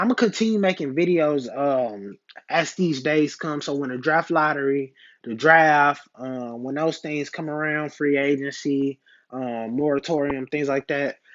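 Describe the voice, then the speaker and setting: This man's voice is fairly high in pitch. He talks at a fairly slow pace. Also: ordinary pitch variation. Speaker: sports fan youtuber. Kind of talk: casual vlog reaction.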